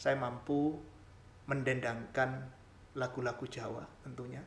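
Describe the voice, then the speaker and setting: A man's monotone, flat intonation at a fairly slow pace, with audible room echo. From Java, Indonesia (village). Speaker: doctoral student and channel creator. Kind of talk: channel introduction monologue. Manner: formal.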